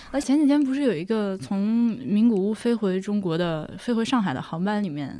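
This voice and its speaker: A woman talks at a moderate pace with hardly any pauses and medium pitch. Her pitch swings very widely over noticeable background noise. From Hubei (Laohekou). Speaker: podcaster, guest. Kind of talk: casual chat. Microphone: poor audio quality.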